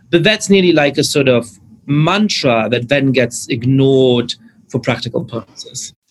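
A man talks at a moderate pace and medium pitch. His voice is somewhat breathy. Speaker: podcast host. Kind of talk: interview conversation.

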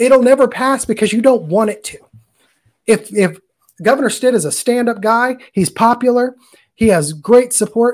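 A man talks at a moderate pace. His pitch is extremely high, with ordinary pitch variation. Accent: American. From Oklahoma, US. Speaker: career teacher. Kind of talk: live-streamed interview.

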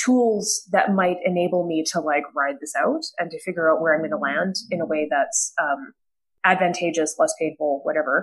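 A woman's plain, everyday voice with a Canadian accent, medium in pitch, at a fairly quick pace with lively intonation. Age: 30s. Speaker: political science professor. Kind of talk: panel discussion.

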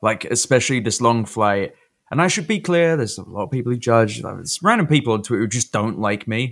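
This man speaks with a London accent. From London, England. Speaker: podcast co-host. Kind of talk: casual chat.

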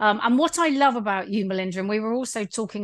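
Over a quiet background, a woman speaks in a normal speaking voice, medium in pitch, with ordinary pitch variation. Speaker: podcast host. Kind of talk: casual interview chat.

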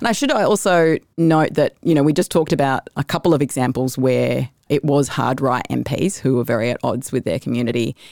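A woman with a very deep, low pitch and vocal fry talks at a fairly quick pace. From Australia. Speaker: climate activist. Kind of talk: interview conversation. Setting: in person.

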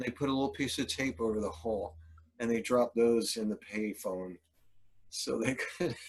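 A man's medium-pitched, ordinary speaking voice at a moderate pace with ordinary pitch variation. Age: 60s. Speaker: Hare Krishna devotee and musician. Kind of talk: casual interview. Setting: video call.

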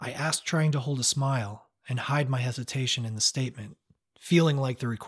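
Against a quiet background, the voice reads aloud plainly with ordinary pitch variation.

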